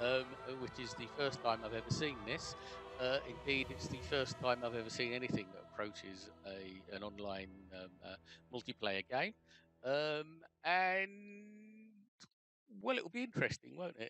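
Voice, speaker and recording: Over clear background music, a man speaks with lively intonation, big swings in loudness and long, frequent pauses, in a dry sound with no echo. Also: moderate pace. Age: old. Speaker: pensioner trying video games for the first time. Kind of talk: casual gameplay commentary. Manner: hesitant, filler-heavy. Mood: good-humoured, wry. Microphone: webcam.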